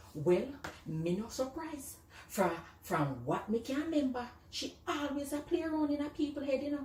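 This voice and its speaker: A woman with a Jamaican accent speaks at a moderate pace in a high, animated, playful voice with very wide pitch swings. Noticeable background noise runs underneath. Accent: Jamaican Patois. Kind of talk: comedic skit monologue, birthday dedication. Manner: animated, playful storytelling.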